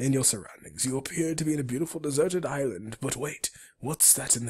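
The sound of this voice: An unforced reading voice is heard here.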